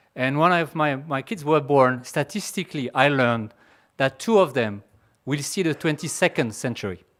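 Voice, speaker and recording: On a very clean recording with a silent background, a man with a French accent speaks with lively intonation at a fairly high pitch. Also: moderate pace. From France. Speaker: pharmaceutical executive. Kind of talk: conference talk. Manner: halting.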